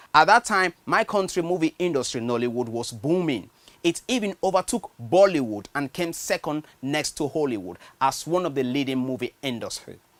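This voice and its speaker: A speaker with a Nigerian accent talks at a moderate pace. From Nigeria, Benue State. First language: a Nigerian language, not English. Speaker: writer. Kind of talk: personal storytelling monologue.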